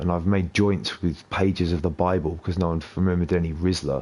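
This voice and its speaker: Delivered with a British accent, the speech is monotone and flat in intonation. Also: man. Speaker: gaming streamer. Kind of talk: casual chat. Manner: sounds angry and upset; talkative, non-stop.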